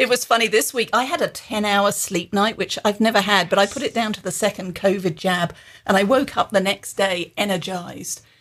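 A woman with a plain, everyday voice talks at a fairly quick pace with ordinary pitch variation on a very clean recording with a silent background. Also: medium pitch for a woman. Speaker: business author and executive development founder. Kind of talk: casual interview chat.

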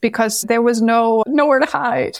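Using a Danish accent, a woman speaks at a fairly high pitch and a fairly slow pace with fairly even intonation. The recording is very clean with a silent background. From Denmark. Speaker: numerologist. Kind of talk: interview.

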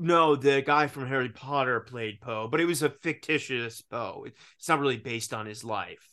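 A man with an American accent speaks at a moderate pace, his medium-pitched voice bright and sharp in tone. His loudness swings widely against a quiet background. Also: ordinary pitch variation. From US South, Richmond, Virginia. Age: 30s. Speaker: actor and podcast host. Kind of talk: casual chat. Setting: video call.

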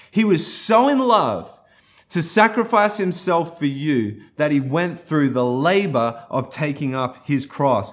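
A man speaks at a moderate pace in a fairly high pitch. His tone is animated, with very wide pitch swings. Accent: Australian. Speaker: guest pastor. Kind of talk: sermon. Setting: recorded for online church stream.

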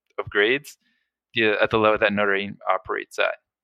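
A man's fairly low voice with an American accent. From South Florida. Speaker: engineer. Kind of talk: reflective interview.

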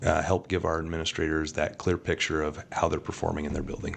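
In an American accent, a man speaks with a very deep, low pitch. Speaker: school district deputy superintendent. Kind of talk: interview.

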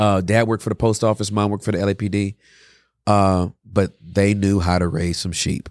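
A man speaks with a fairly low pitch and a flat, monotone delivery. The recording is very clean, with a silent background. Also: fairly quick pace, dry, close sound with no echo. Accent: American. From California, US West. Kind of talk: casual interview chat. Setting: in-person studio. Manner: casual, slangy.

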